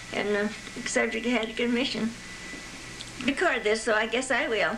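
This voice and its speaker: A woman talks fairly quickly at a fairly high pitch, her intonation fairly even. Audible room echo and noticeable background noise are present. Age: 90s. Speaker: grandmother showing family photos. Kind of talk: casual reminiscing. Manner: halting.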